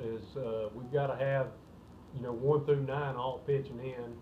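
Light background noise behind a man at a moderate speed. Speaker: baseball head coach. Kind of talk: interview answer. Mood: calm, pleased after win. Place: office. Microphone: phone near.

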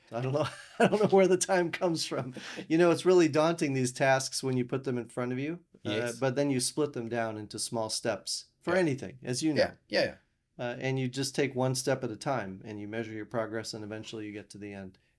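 A man talks at a very fast pace with lively intonation. His loudness swings widely against a quiet background. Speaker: podcast guest. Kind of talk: interview answer. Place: studio. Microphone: studio mic.

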